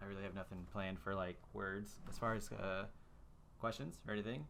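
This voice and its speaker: With audible room echo, a man with a very deep, low voice and vocal fry speaks at a very fast pace. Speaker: esports podcast host. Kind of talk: casual chat. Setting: voice call. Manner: casual, halting with fillers.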